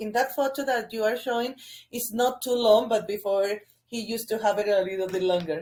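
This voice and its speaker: A woman with a Spanish accent speaks at a fairly high pitch with ordinary pitch variation. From Colombia. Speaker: sports journalist. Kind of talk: interview. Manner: halting.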